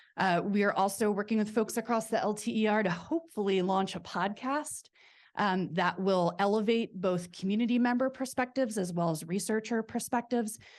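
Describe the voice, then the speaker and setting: The background is quiet behind a plain, everyday voice. It moves at a fairly quick pace with very even loudness and ordinary pitch variation. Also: woman, medium pitch for a woman. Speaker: researcher. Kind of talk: conference presentation.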